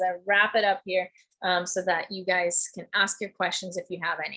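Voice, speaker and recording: The speaker is a woman with a bright, sharp tone. She moves along at a fairly quick pace. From Germany. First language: German. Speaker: test prep instructor. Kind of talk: webinar presentation. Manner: talkative.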